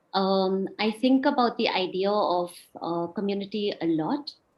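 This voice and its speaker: A woman speaks in a northeastern Indian accent at a medium pitch. Her pitch varies in an ordinary way. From India, Shillong (Meghalaya). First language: Khasi. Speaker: speaker at online talk. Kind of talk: presentation talk. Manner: halting, many fillers.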